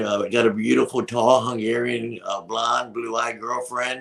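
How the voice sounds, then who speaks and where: This man's voice sits at a medium pitch and carries vocal fry. He talks at a moderate pace. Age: 60s. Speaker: wrestling manager. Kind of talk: casual interview.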